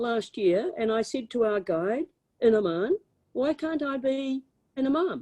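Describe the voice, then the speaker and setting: Recorded dry and close with no echo, a woman with a New Zealand accent speaks at a moderate pace in a high pitch, her dark, mellow tone carrying lively intonation. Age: 70s. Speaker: former politician. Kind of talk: lecture Q&A. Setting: video call. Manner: animated.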